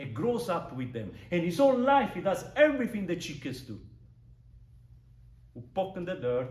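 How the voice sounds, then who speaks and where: With a strong non-native accent, the speaker moves at a moderate pace through long, frequent pauses, with very wide pitch swings, big swings in loudness and audible room echo. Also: man, high pitch for a man. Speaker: public speaking club member. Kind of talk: prepared speech.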